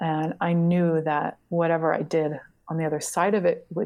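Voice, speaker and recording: A soft-spoken woman talks at a fairly low pitch. Her tone is dark and mellow. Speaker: writer and translator. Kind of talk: casual interview conversation.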